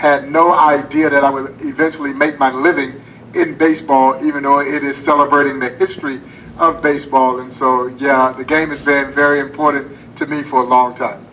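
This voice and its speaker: A man talks fast in a Southern US accent, fairly high-pitched and with monotone, flat intonation. There is noticeable background noise and audible room echo. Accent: Southern US (Georgia). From US South, rural Georgia. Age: 50s. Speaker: baseball museum president. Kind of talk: Q&A panel answers. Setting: theater stage with audience.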